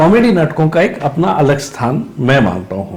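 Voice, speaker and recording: Noticeable noise sits behind the voice. The man talks at a fairly high pitch. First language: Marathi (speaking Hindi). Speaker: theatre actor and director. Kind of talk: interview. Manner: hesitant, many fillers.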